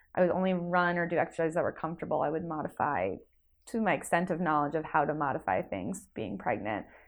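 A woman with an American accent, a very deep, low pitch, very wide pitch swings, vocal fry and a very fast pace. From New Jersey, Jersey Shore area. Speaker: amateur marathon runner. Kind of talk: casual interview chat.

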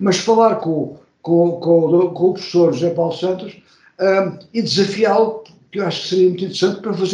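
In a room with audible echo, a man speaks at a fairly quick pace with high pitch, a dark, mellow tone and fairly even intonation. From Portugal. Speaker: marketing professor. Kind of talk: interview.

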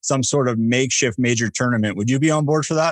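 A normal speaking voice with fairly even intonation is heard over a quiet background. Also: man. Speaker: podcast host. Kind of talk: casual chat, podcast interview.

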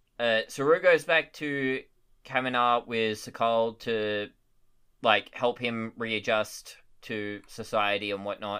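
A man's medium-pitched voice in an Australian accent, at a very slow pace with ordinary pitch variation. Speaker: podcast co-host. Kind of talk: casual chat. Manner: halting.

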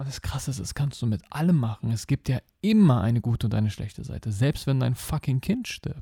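A man with a medium pitch speaks at a fairly quick pace, his intonation lively. His tone is dark and mellow, somewhat breathy, with a dry, close sound and no echo. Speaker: podcast host and life coach. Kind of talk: monologue podcast. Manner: animated.

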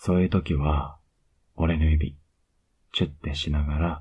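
A man speaks in a very deep, low voice that is somewhat breathy, with monotone, flat intonation. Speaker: ASMR voice actor playing a boyfriend. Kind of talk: asmr boyfriend roleplay, intimate bedtime scene. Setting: close-mic bedtime audio for headphones. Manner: soft, whispery and tender; slow, pet-name sweet talk, lulling her to sleep; affectionate and teasing, with little laughs and cuddling.

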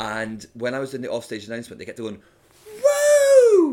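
A man with a Scottish accent at a moderate pace. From Scotland, Edinburgh. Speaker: comedian and voiceover artist. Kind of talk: casual chat.

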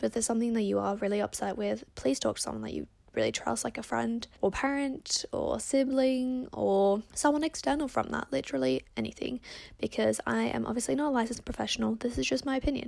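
A woman speaks at a very fast pace in an Australian accent with an animated tone. The recording is very clean, with a silent background. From Perth, Australia. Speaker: podcast host giving advice. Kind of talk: casual solo chat answering listener questions. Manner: fast talker; animated, chatty.

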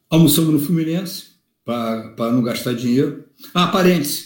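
A man talks at a moderate pace with a fairly high pitch. The room echo is audible. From Rio de Janeiro, zona sul. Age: 50s. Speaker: football fan leader. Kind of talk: casual chat.

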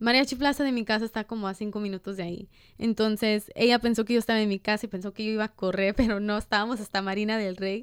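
Talking at a very fast pace with hardly any pauses, a woman has a fairly high pitch and fairly even intonation in a dry, close sound with no echo on a very clean recording with a silent background. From Los Angeles (Boyle Heights / East LA), US. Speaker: podcast co-host. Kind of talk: casual chat.

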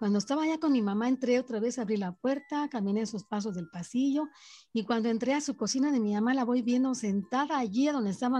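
The voice has a dark, mellow tone and lively intonation at a fairly quick pace. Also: woman. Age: 60s. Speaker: storyteller aunt of host. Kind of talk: personal testimony.

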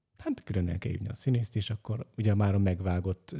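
A man speaks at a moderate pace in a fairly low voice, somewhat breathy, with a dark, mellow tone and a dry, close sound with no echo. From Great Hungarian Plain. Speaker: film editor. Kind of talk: casual chat.

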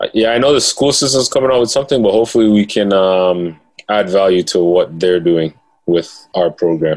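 This man has a normal speaking voice, pitched fairly low, with ordinary pitch variation, very even loudness and a fairly quick pace. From Toronto, Canada (Jane and Finch). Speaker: financial literacy educator and author. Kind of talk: casual interview.

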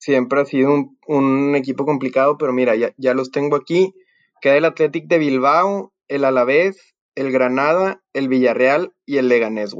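A man with an unremarkable speaking voice talks at a moderate pace and fairly high pitch with ordinary pitch variation, in dry, close sound with no echo. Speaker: podcast host. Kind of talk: casual chat.

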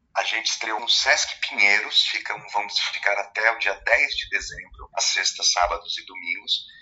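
A man talks at a moderate pace with hardly any pauses. Music plays in the background. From Brazil, Barueri (São Paulo). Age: 50s. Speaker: actor and director. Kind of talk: radio interview.

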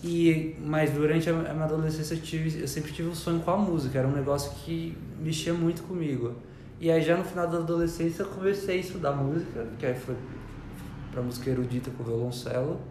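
Soft-spoken and fairly quick, a man with a fairly high pitch is heard amid audible room echo and noticeable background noise. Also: ordinary pitch variation. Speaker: church member and artist. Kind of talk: testimony. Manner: quiet, soft-spoken.

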